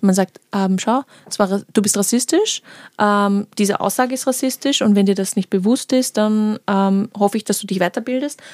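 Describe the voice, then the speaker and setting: A woman speaks in a normal speaking voice at medium pitch and a moderate pace. Her pitch varies in an ordinary way, and the sound is dry and close with no echo. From Vienna, Austria. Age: 20s. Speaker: political scientist. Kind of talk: casual chat.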